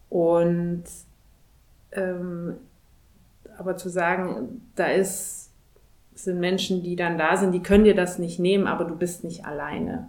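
Audible room echo surrounds a woman's fairly low voice, which shows ordinary pitch variation. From Thuringia, Germany. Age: 30s. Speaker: corporate executive. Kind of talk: interview.

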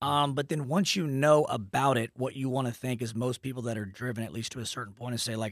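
An ordinary speaking voice, a man of medium pitch with an American accent, talks at a fairly quick pace in a dry, close sound with no echo on a very clean recording with a silent background. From Texas, Dallas. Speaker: mortgage branch owner. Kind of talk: casual interview chat.

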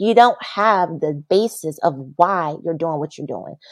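A woman talks fairly slowly in a plain, everyday voice with ordinary pitch variation. The sound is dry and close with no echo, over a quiet background. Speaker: massage therapist and bodyworker. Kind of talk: casual interview chat. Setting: video call.

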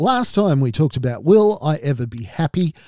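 A man with an Australian accent, fairly high pitched, with very wide pitch swings, a dark, mellow tone, a moderate pace and a dry, close sound free of echo. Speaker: mental health podcast host. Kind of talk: monologue podcast talk.

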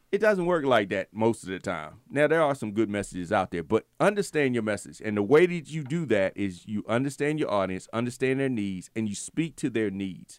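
In a very clean recording with a silent background, a man at medium pitch with an American accent talks at a fairly quick pace with hardly any pauses and very wide pitch swings. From Virginia. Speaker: radio co-host. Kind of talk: playful radio banter, joking. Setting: radio studio. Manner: animated, quick, teasing.

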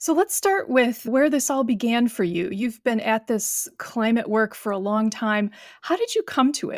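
With an unremarkable speaking voice, a woman talks at a moderate pace with fairly high pitch, lively intonation and hardly any pauses, in a dry, close recording with no echo that is very clean against a silent background. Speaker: podcast host and professor. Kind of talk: interview conversation.

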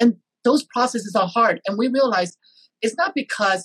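A man with a Taiwanese accent, very wide pitch swings and a moderate pace, in a dry, close sound with no echo. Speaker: podcast host. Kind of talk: interview. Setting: video call.

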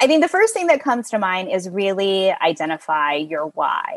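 A woman with an American accent speaks at a moderate pace and medium pitch in a normal speaking voice. The sound is dry and close, with no echo. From US South, small-town Texas. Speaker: in-house employment lawyer. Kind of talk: interview.

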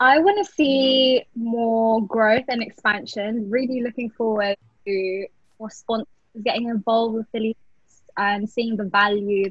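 This woman has a British accent and a fairly high pitch, with a somewhat breathy quality. She speaks at a fairly slow pace with fairly even intonation. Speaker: law trainee, festival committee member. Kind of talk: casual chat.

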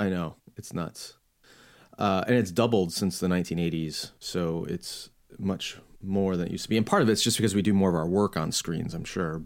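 His pitch is very deep and low. The man speaks at a moderate pace with fairly even intonation. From US Midwest, Chicago suburbs. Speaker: podcast host and author on theology. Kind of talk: interview conversation. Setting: home office, remote call.

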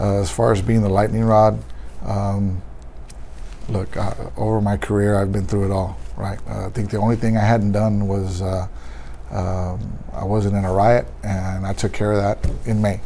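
Audible room echo and noticeable background noise surround a speaker with an American accent. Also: man, fairly low pitch for a man, fairly even intonation, moderate pace. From Texas, San Antonio. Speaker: police union president. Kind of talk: interview.

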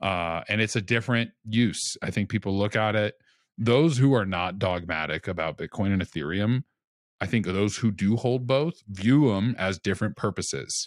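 A man with an American accent and an ordinary speaking voice speaks at a moderate pace and a fairly low pitch with lively intonation, in a very clean, dry recording with no echo and a silent background. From Louisiana, US South. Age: 30s. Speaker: podcaster, self-custody worker. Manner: jokey, laid-back.

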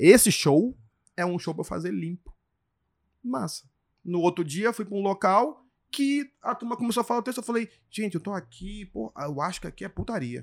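A man with a high pitch speaks at a moderate pace, taking long, frequent pauses. His tone is animated and his intonation lively. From grew up moving around Brazil (Porto Velho, Manaus, Salvador, Brasília, Recife). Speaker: stand-up comedian. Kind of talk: casual chat.

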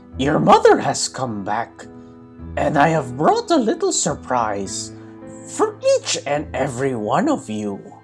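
A man uses a put-on character voice at a fairly slow pace while clear music plays in the background. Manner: deceptive.

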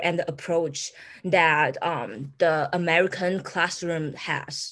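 In a Taiwanese accent, a woman with a fairly low pitch speaks at a very slow pace with fairly even intonation. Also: quiet background.

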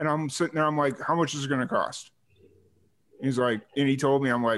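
Speaking with a Chicago accent, a man at a medium pitch talks at a fairly quick pace with ordinary pitch variation. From Chicago area. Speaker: podcast host. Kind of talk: casual interview. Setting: video call.

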